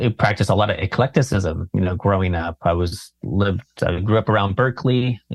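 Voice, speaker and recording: Somewhat breathy speech with an American accent, dry and close with no echo, over a quiet background. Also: man. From California. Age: 40s. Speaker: meditation teacher. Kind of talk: casual chat.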